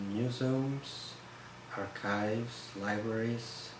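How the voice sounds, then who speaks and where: Very slow, flat, monotone speech with noticeable background noise and audible room echo. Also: man. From Spain, Barcelona (Catalonia). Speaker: photograph conservator. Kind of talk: interview. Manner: halting.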